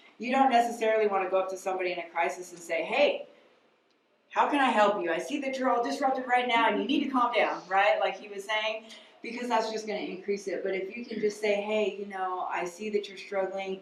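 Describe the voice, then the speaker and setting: Her fairly high voice moves at a very fast pace with ordinary pitch variation and big swings in loudness, and the room echo is audible as this woman speaks. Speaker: mental health counselor. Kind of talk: lecture.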